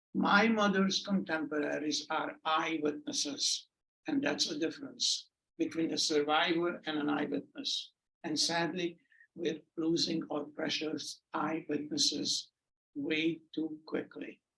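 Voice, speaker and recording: Bright and sharp in tone, a man's fairly high voice moves at a fairly slow pace with ordinary pitch variation. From Hungary. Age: 80s+. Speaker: Holocaust survivor speaker. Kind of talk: testimony. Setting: stage with audience.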